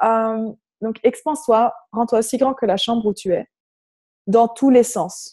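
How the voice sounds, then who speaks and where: Her voice sits fairly high in pitch, with a dark, mellow tone. The woman talks at a very slow pace, leaving long, frequent pauses. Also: ordinary pitch variation. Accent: Flemish. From Flanders, Belgium. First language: Dutch (Flemish) (speaking French). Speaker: personal development facilitator. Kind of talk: guided meditation. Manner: hesitant, with fillers.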